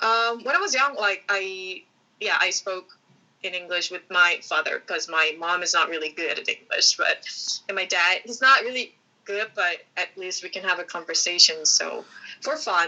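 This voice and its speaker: A woman speaks with a Korean accent at a medium pitch. Her pace is moderate, with ordinary pitch variation. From South Korea, Seoul Gangnam Daechi area. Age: 20s. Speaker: student. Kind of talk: podcast interview. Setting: video call. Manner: halting.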